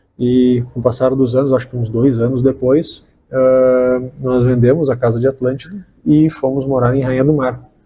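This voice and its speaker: A man at medium pitch and moderate pace, in a monotone, flat intonation, with music in the background. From southern Brazil, Porto Alegre. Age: 30s. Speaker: state tourism official. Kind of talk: interview. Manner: halting, many fillers.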